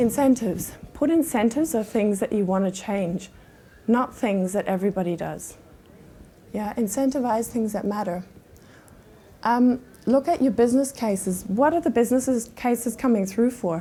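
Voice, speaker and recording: A woman with a German accent, somewhat breathy, fairly high-pitched, with a dark, mellow tone, ordinary pitch variation and a moderate pace. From Germany. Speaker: conference speaker, sales enablement leader. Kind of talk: conference talk.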